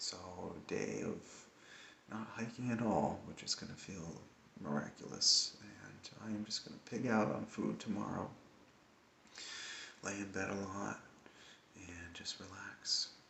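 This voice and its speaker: Quiet and fairly slow, a man talks with long, frequent pauses and big swings in loudness, and audible room echo surrounds his voice. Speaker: hiker vlogger. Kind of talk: casual video diary. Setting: indoors at a hostel at night. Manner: quiet, hushed.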